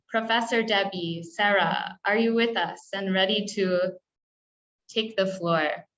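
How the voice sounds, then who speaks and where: Speaking at a fairly slow pace with very even loudness and fairly even intonation, a woman with an American accent has an unremarkable speaking voice. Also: medium pitch for a woman. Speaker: webinar moderator. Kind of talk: online meeting moderation. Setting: video call.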